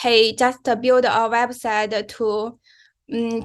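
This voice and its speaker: A woman with a non-native accent and a fairly high pitch speaks in a monotone, flat way. Her pace is very slow, against a quiet background. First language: not English. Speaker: mobile developer, bootcamp graduate. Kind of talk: career advice talk on a live stream. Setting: live stream. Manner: halting, many fillers and restarts.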